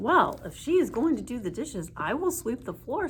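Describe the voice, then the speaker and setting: A woman's put-on character voice, high-pitched with very wide pitch swings, at a moderate pace over clear background noise. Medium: read story. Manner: complaining.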